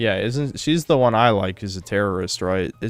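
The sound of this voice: The intonation rises and falls in a lively way. It is an unforced reading voice.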